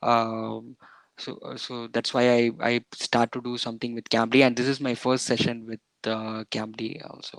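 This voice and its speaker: A man speaks with monotone, flat intonation in a dry, close sound with no echo. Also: medium pitch for a man, moderate pace, big swings in loudness. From southern India. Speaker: English learner, software developer. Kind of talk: casual conversation lesson. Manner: halting, many fillers.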